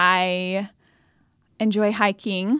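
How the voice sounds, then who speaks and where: In a medium-pitched, flat monotone, a woman with an American accent speaks on a very clean recording with a silent background. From US Midwest, Jefferson City, Missouri. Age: 20s. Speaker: nurse. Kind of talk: interview, faith testimony.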